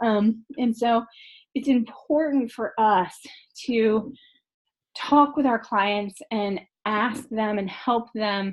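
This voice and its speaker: Somewhat breathy and fairly high in pitch, a woman speaks with ordinary pitch variation and long, frequent pauses. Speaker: college instructor. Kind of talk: lecture. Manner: many filler ums.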